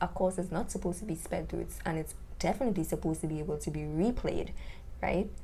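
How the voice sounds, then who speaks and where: Audible room echo around a woman's fairly quick delivery. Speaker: YouTuber reviewing online courses. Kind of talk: product review monologue. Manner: animated.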